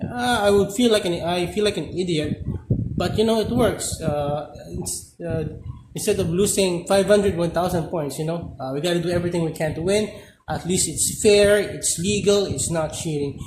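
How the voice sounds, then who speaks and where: A man's high voice with a non-native accent, ordinary pitch variation and a moderate pace, amid noticeable background noise and audible room echo. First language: not English. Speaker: gaming content creator. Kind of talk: gameplay tutorial. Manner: halting, many fillers.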